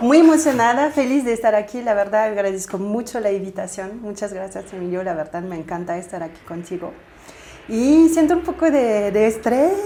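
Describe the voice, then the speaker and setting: A woman with a French accent, fairly high in pitch with very wide pitch swings, at a moderate pace over noticeable background noise. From southern France, Toulouse. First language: French (speaking Spanish). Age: 30s. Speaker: spiritual coach and aura reader. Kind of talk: interview conversation.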